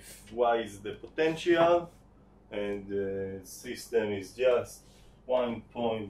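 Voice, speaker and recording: A man with an Israeli accent speaks at a medium pitch with lively intonation. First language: Hebrew. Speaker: teaching assistant. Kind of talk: tutorial. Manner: halting.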